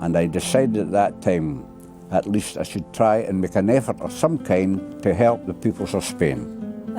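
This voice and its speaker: At a moderate tempo, a man talks while music plays behind him. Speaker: war veteran. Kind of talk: interview answer.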